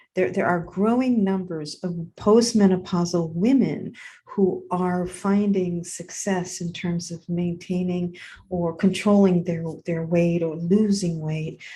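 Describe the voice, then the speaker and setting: A woman's dark, mellow, somewhat breathy voice with fairly even intonation at a fairly slow pace. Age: 60s. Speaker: podcast host. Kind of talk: casual monologue. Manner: halting.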